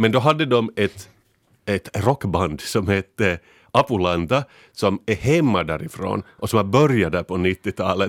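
Recorded very cleanly against a silent background, a man's fairly low voice sounds dry and close, with no echo. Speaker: podcast panelist. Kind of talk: casual chat. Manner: animated.

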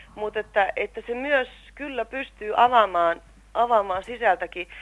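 A woman with an unremarkable speaking voice and fairly high pitch talks at a moderate pace with lively intonation. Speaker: actress, guest's sister. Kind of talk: interview testimony.

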